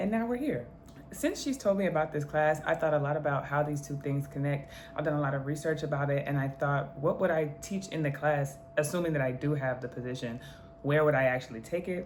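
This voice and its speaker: Over noticeable background noise and audible room echo, a woman with a very deep, low pitch talks at a fairly quick pace with ordinary pitch variation. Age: 20s. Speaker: law student and history content creator. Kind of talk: educational video monologue. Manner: casual, conversational; reading definitions aloud.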